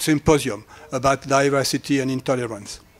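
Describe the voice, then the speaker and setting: Speech at a moderate pace in a French accent, captured in a very clean recording with a silent background. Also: man. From France. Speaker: academic researcher. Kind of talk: lecture. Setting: conference hall with audience. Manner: halting.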